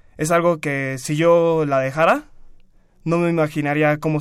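On a very clean recording with a silent background, a man has an unremarkable speaking voice, fairly high in pitch with fairly even intonation. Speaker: university student and swimmer. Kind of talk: radio interview. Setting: radio studio.

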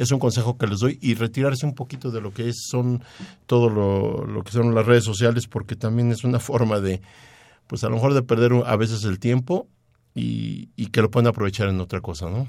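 At a moderate pace, a man with a medium pitch talks in a dark, mellow tone with fairly even intonation. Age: 60s. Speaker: radio sports commentator. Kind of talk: sports talk radio. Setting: radio studio.

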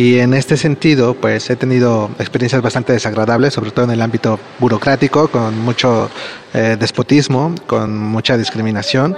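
A man speaks at a moderate pace with very even loudness. Noticeable background noise runs through the clip. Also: medium pitch for a man, fairly even intonation. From Mexico. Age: 30s. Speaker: migrant giving testimony. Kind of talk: testimony.

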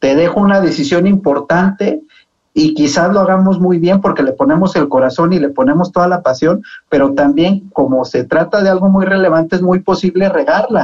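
With a high-pitched voice, a man speaks at a moderate pace. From Mexico, Zacatecas. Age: 20s. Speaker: senate political adviser. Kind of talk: radio panel discussion.

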